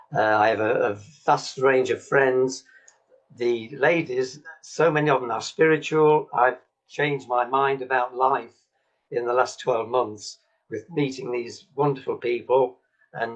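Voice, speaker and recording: A man at medium pitch and moderate pace, with music in the background. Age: 70s. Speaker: patient giving a testimonial. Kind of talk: testimony. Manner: halting, with many fillers.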